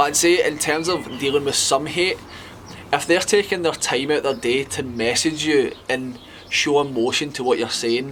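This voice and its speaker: A man with a Scottish accent talks while music plays in the background. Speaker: fitness influencer. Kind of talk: casual talk to camera.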